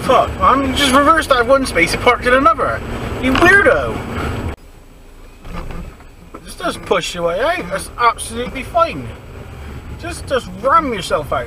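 Pausing long and often, a man speaks in a Bristol accent over noticeable background noise, in a dry sound with no echo. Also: moderate pace. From Bristol, England. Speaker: driver commenting on other drivers. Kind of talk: casual dash cam commentary. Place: car.

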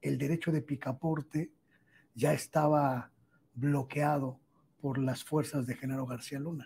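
This man's voice is somewhat breathy with a dark, mellow tone, fairly even intonation and a fairly slow pace. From Mexico. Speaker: journalist. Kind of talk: interview. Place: studio. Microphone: lapel.

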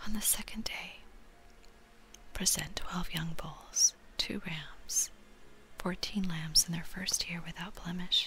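Whispering at a very slow pace comes with long, frequent pauses. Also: woman. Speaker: scripture reader. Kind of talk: scripture reading and teaching. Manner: soft-spoken, hushed reading voice. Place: home room. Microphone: webcam.

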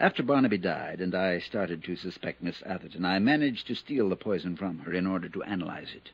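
A man puts on a character voice, low-pitched with a slightly husky edge, lively intonation and a fairly quick pace.

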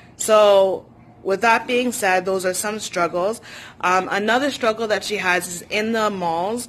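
Against light background noise, a woman talks at a fairly slow pace with fairly even intonation. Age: 20s. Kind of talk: personal story vlog. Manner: hesitant with frequent fillers. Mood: earnest, personal, somewhat sad. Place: home room. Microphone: phone near.

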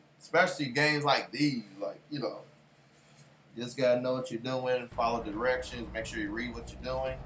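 There's light background noise behind a man talking. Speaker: gamer streamer. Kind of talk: casual gameplay commentary. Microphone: headset.

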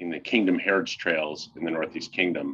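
A man speaks with a bright, sharp tone. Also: quiet background. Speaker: executive director of a hiking club. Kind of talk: event host welcome speech. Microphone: video call.

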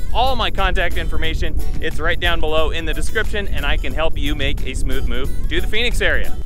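Over clear background music, a man talks at a very fast pace, the sound dry with no echo. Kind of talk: promotional vlog talk. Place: open country. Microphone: phone near.

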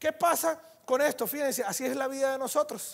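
Against a quiet background, a man talks at a moderate pace in an extremely high pitch with an animated tone. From Venezuela. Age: 30s. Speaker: network marketing speaker; conference speaker. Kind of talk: motivational talk. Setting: stage with audience. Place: hall.

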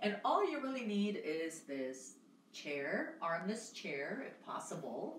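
A woman's fairly slow speech with audible room echo and light background noise. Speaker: fitness instructor. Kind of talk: exercise class instruction. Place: home room. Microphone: camera far.

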